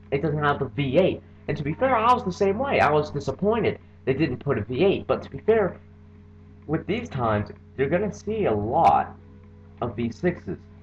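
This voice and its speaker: Over noticeable background noise, a man with a fairly high pitch speaks with very wide pitch swings and long, frequent pauses. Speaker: video game car reviewer. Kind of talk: casual gameplay commentary. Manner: fast.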